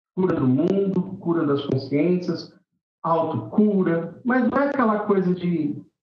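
Very slow speech with very wide pitch swings is heard with audible room echo. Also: man. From Brazil, São Paulo city (Vila Carrão). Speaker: singer-songwriter and music teacher. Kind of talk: casual interview.

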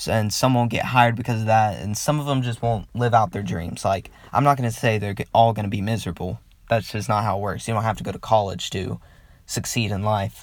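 An American accent with fairly even intonation at a fairly quick pace. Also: man, fairly low pitch for a man. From US South. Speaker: podcaster. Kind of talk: solo commentary monologue. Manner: casual, hesitant with many fillers.

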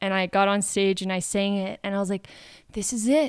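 In a Canadian accent, a woman with an unremarkable speaking voice talks at a moderate pace and medium pitch on a very clean recording with a silent background. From Canada. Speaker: musician. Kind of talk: casual chat. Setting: coffee shop.

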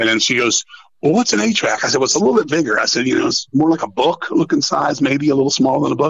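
An animated man with an American accent, very wide pitch swings and a very fast pace. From Washington DC area, US. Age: 50s. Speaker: metal musician. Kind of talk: casual chat. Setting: phone call.

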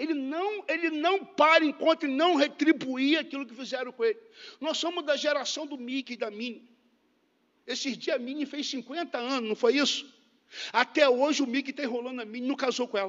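A man talks in an extremely high pitch with an animated tone. His pitch variation is ordinary and his pace moderate. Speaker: preacher. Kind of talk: sermon. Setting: church.

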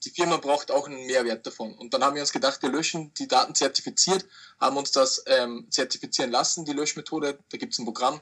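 At a very fast pace, a man with a fairly high voice and bright, sharp tone talks with ordinary pitch variation. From Austria. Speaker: online reseller. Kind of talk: interview.

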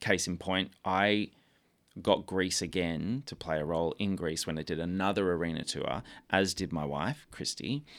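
Speaking in an Australian accent, a man with a very deep, low pitch talks at a moderate pace with ordinary pitch variation, on a very clean recording with a silent background. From Australia, Melbourne. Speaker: musical theatre actor. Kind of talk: radio interview.

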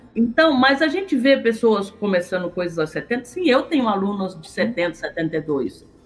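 A woman's fairly high voice with very wide pitch swings, big swings in loudness and hardly any pauses, amid noticeable background noise. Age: 50s. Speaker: digital marketing entrepreneur and teacher. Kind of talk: podcast interview.

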